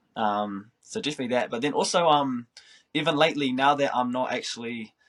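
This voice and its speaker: Speaking at a fairly quick pace, a man with a slight New Zealand accent has a medium-pitched voice. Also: ordinary pitch variation. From New Zealand, Christchurch. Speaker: professional footballer. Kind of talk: interview.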